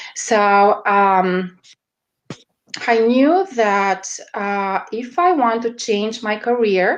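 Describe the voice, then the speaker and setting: In a strong Romanian accent, a woman with a fairly high pitch speaks at a very slow pace, with ordinary pitch variation and long, frequent pauses. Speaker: media strategist. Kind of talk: interview. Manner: halting, many fillers.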